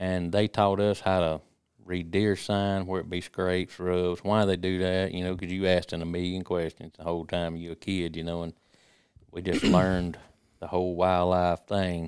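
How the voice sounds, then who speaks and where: On a very clean recording with a silent background, a man with a Mississippi accent talks at a moderate pace in a very deep, low pitch and monotone, flat intonation. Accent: US South, Mississippi. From Mississippi, Jasper County. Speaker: hunting call maker. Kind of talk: casual chat.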